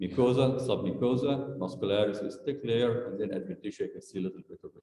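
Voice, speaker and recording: Amid audible room echo, a man speaks at a fairly quick pace and medium pitch with ordinary pitch variation. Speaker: medical school lecturer. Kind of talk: lecture. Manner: fast.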